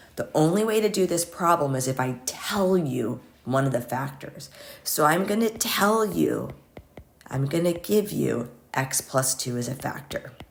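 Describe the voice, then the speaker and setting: With very wide pitch swings, a woman with a very deep, low voice speaks at a fairly slow pace over noticeable background noise. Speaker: math teacher. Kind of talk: tutorial. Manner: casual.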